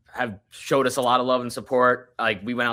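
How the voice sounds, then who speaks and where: In a Long Island accent, a man with medium pitch and a bright, sharp tone is heard on a very clean recording with a silent background. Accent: New York (Long Island). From Long Island, New York. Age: 20s. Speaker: touring musician, guitarist. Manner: casual, halting with many fillers.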